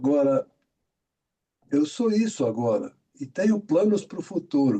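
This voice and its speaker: The speaker has a dark, mellow tone, swings very widely in pitch and keeps a fairly slow pace. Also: man, high pitch for a man. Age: 80s+. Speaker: participant in study group, director and practitioner. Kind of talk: casual discussion in online study group.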